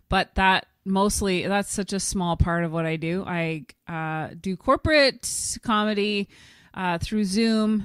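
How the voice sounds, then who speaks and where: In a Canadian accent, a woman at medium pitch speaks very slowly with ordinary pitch variation, recorded very cleanly against a silent background with a dry, close sound and no echo. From Ottawa, Canada. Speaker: stand-up comedian and keynote speaker. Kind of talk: podcast interview answer.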